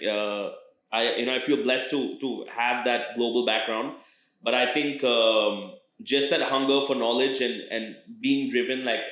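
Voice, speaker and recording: Amid audible room echo, a man with an American accent talks at a moderate pace and medium pitch with fairly even intonation. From international schools abroad (Indian family, third culture kid). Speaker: rapper. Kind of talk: interview. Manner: halting, many fillers and repeated words.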